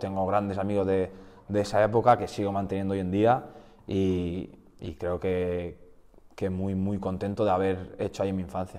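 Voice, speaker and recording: Moderate pace and a dark, mellow tone from a man with a fairly low pitch. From Basque Country, Spain. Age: 20s. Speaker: futsal goalkeeper. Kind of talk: podcast interview. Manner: hesitant, repeats words.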